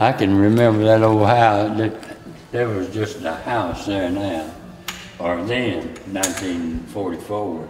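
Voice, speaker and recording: In an Appalachian accent, a man speaks very slowly at a fairly low pitch with ordinary pitch variation, with noticeable background noise and audible room echo. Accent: Appalachian Southern US. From US South, southeastern Kentucky. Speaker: war veteran. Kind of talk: interview.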